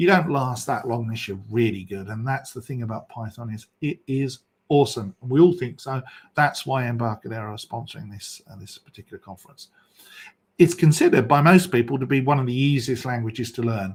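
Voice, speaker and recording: Somewhat breathy, a man at medium pitch speaks at a fairly quick pace with ordinary pitch variation. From England, London. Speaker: software developer and conference host. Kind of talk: conference presentation. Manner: fast.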